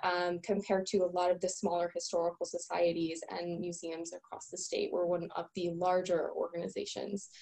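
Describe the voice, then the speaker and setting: A woman uses an ordinary speaking voice at a medium pitch, keeping a moderate pace. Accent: American. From eastern Connecticut. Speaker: museum director. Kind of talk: panel talk. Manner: frequent fillers.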